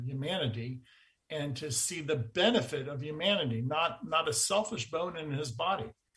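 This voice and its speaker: With lively intonation and a fairly high pitch, a man talks in a plain, everyday voice. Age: 60s. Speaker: energy researcher. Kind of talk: interview.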